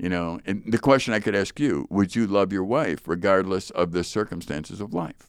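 A man talks in an ordinary speaking voice, fairly low in pitch, at a moderate pace with ordinary pitch variation and hardly any pauses. The recording is very clean, with a silent background. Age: 60s. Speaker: Bible teacher and podcast co-host. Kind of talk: casual chat about Bible passage. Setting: studio.

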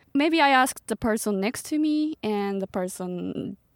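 A woman speaks with a Japanese accent and lively intonation. The recording is very clean, with a silent background and a dry, close sound with no echo. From Japan, Tochigi Prefecture. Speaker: startup community co-founder. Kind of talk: podcast interview. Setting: parked van.

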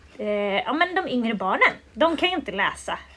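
Pitch swings very widely at a moderate pace, with noticeable background noise throughout. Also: woman. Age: 20s. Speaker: riding school owner and instructor. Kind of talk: casual interview. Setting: at a pony stable.

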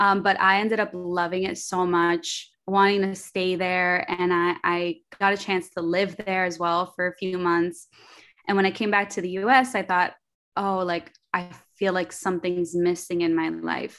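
A woman with a New York accent speaks in a medium pitch with monotone, flat intonation. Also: moderate pace. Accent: New York American English. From New York, Queens. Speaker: entrepreneur. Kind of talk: casual chat.

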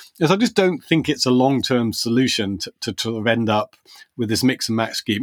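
A man with a British accent talks at a moderate pace with very wide pitch swings. The sound is dry and close, with no echo. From Britain. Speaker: tech policy podcast co-host. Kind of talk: casual discussion.

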